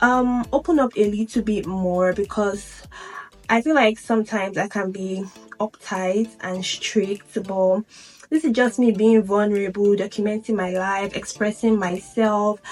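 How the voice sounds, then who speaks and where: Over music in the background, a woman at medium pitch talks at a fairly slow pace with fairly even intonation. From Nigeria, Lagos. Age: 20s. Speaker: vlogger. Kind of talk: Q&A vlog.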